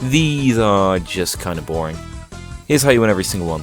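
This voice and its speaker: A man talks at a very fast pace with a very deep, low pitch and very wide pitch swings. Music plays in the background. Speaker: game reviewer. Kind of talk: video game review narration.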